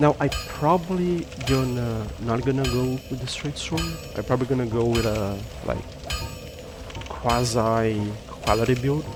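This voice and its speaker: Against noticeable background noise, a man with a non-native accent and a medium pitch speaks at a fairly slow pace, with ordinary pitch variation and long, frequent pauses. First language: Portuguese. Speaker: gaming youtuber. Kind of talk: gameplay commentary. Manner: halting.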